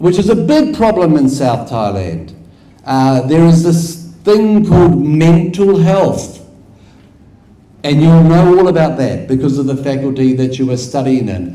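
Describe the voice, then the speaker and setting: With lively intonation and a fairly high pitch, a man talks at a fairly slow pace in audible room echo. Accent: New Zealand. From New Zealand. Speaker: academic researcher. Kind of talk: conference lecture.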